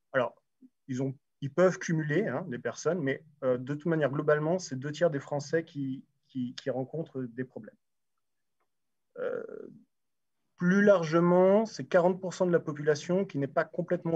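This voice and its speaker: Moderate-paced talk from a man with a fairly high pitch and ordinary pitch variation. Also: long, frequent pauses. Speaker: round table moderator. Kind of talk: panel discussion moderation. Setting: livestreamed event with sign language interpreting. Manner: hesitant, many fillers.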